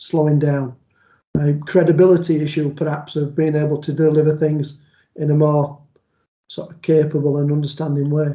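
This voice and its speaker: A man with a Yorkshire accent talks at a moderate pace and a fairly high pitch. His tone is dark and mellow, somewhat breathy. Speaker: police liaison officer and trainer. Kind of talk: online training presentation. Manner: conversational.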